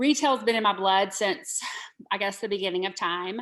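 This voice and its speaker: A woman in a Southern US accent, bright and sharp in tone with lively intonation, on a very clean recording with a silent background. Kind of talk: podcast interview.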